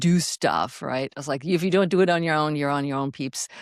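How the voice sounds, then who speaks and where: A woman speaks at a very deep, low pitch. The sound is dry and close, with no echo. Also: very clean recording, silent background. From Germany. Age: 60s. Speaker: fitness and mindset coach. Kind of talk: podcast interview. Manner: animated.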